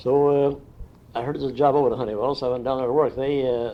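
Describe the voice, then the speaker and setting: A man at a fairly high pitch and a very fast pace. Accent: Midwestern American. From Indiana. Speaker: retired factory draftsman. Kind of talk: oral history interview. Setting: at his home.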